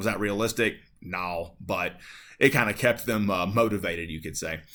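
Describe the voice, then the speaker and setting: With a plain, everyday voice, a man speaks in an American accent at a moderate pace and fairly low pitch, with ordinary pitch variation. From Appalachia, North Carolina-Tennessee border. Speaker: high school history teacher. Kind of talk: lecture. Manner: casual, many fillers (um, uh, like).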